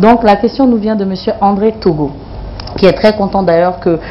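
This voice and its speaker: A woman talks over noticeable background noise. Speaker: TV talk show host. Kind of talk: TV talk show interview. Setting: TV studio with live audience. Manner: animated.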